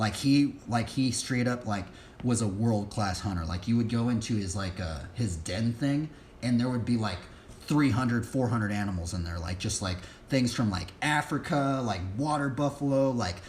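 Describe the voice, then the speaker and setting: Audible room echo surrounds a man's somewhat breathy voice, pitched in the medium range with ordinary variation. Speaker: livestreamer leading Bible study and BMX practice. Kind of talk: casual livestream chat. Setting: live stream. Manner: fast; halting, many fillers.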